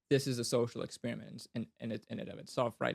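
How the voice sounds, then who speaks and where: A man speaks with vocal fry. The sound is dry and close, with no echo. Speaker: fantasy author and podcaster. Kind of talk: casual interview conversation. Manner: halting, frequent self-corrections and fillers.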